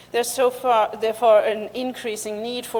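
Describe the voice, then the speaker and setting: With noticeable background noise around her, a woman speaks at a fairly quick pace. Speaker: seabird researcher. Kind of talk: conference talk. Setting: conference stage.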